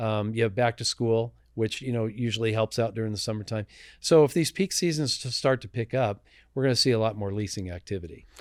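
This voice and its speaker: With an American accent and a normal speaking voice, a man of medium pitch talks at a fairly quick pace with ordinary pitch variation on a very clean recording with a silent background. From Southern California, Los Angeles. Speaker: industrial real estate broker. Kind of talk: casual interview chat. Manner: casual, conversational.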